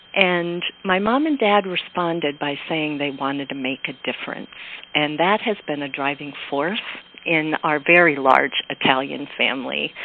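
Noticeable background noise sits behind a woman with an American accent whose pitch is very deep and low. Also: ordinary pitch variation, moderate pace. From Pennsylvania, Pocono Mountains area. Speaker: education entrepreneur. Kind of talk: interview.

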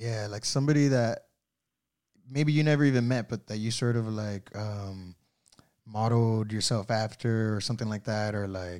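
Ordinary pitch variation marks a man's medium-pitched voice at a moderate pace. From Miami, Florida. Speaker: podcast host, artist. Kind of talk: casual interview. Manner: halting, many fillers and repeats.

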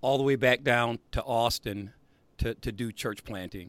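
In a dry, close recording with no echo, a man with a plain, everyday voice talks fairly slowly at a medium pitch and with fairly even intonation. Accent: American. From South Bend, Indiana. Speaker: podcast host. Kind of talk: casual chat.

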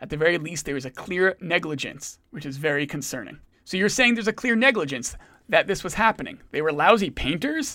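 A man talks at a fairly quick pace with a bright, sharp tone and a high pitch. His pitch swings very widely, and his loudness shifts a lot. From Providence, Rhode Island. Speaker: podcast host, local investigative reporter. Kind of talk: casual chat.

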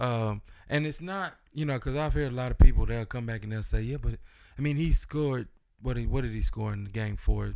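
With an unremarkable speaking voice, a man talks at a fairly quick pace and medium pitch, with ordinary pitch variation. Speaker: podcast co-host. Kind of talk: casual chat.

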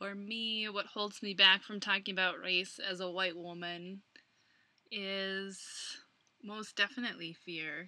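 A woman with an American accent, her medium pitch delivered in a flat monotone, a bright, sharp tone, big swings in loudness, and a fairly slow pace. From Minnesota, US Midwest. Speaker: podcast co-host, coach. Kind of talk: casual chat.

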